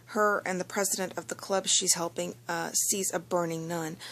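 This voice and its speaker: A woman speaks quietly with fairly even intonation. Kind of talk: casual anime episode review talk. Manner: quiet, low-volume.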